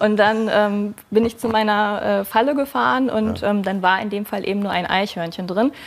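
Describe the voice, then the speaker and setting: A woman speaks at a moderate pace with ordinary pitch variation and hardly any pauses. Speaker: wildlife biologist; talk show guest. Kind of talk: TV talk show. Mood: friendly, slightly shy. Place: studio. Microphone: lapel.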